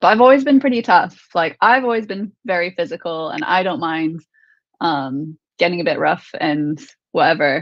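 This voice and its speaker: Her pitch sits in the medium range for a woman but swings very widely, at a moderate pace. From US. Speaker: MMA fighter. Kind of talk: interview. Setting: live online show.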